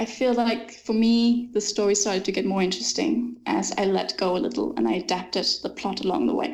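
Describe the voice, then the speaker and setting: In a Danish accent, a woman talks at a fairly quick pace with hardly any pauses. Her intonation is lively and her loudness very even. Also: medium pitch for a woman. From Denmark. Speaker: fantasy author. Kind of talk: interview.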